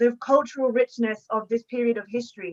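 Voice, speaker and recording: A woman speaks with an English accent at a moderate pace, her pitch fairly high with ordinary variation. Her tone is bright and sharp, and the sound is dry and close with no echo. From England. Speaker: historian and book author. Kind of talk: panel discussion response. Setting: online video call. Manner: hesitant, many fillers.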